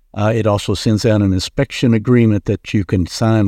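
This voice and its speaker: A man with an American accent at a fairly low pitch, dark and mellow in tone, at a very fast pace, dry and close with no echo, over a quiet background. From Kentucky. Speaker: home inspector. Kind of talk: casual interview. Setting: podcast studio.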